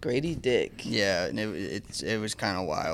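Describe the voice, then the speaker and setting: An ordinary speaking voice, delivered at a moderate pace. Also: man. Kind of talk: casual chat.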